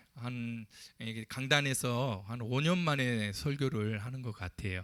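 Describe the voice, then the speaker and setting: In a very clean recording with a silent background and a dry, close sound with no echo, a man speaks very slowly in a bright, sharp tone with ordinary pitch variation. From Ulsan, South Korea. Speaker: pastor. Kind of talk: sermon. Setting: church pulpit.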